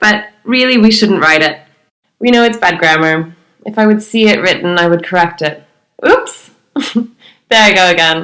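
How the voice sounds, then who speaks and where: Long, frequent pauses break up speech at a moderate pace, with a bright, sharp tone, very even loudness and ordinary pitch variation. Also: woman, medium pitch for a woman. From United States. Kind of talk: podcast discussion.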